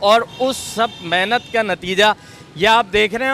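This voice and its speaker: This man's voice is high in pitch, heard with noticeable background noise. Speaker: TV show host. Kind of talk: street report to camera.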